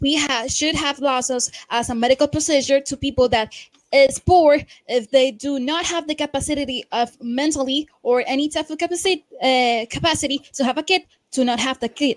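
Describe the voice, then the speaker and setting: A woman with a Spanish accent speaks at a high pitch and a moderate pace. Her intonation is fairly even, and the sound is dry and close with no echo. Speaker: debate participant. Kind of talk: heated debate. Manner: halting.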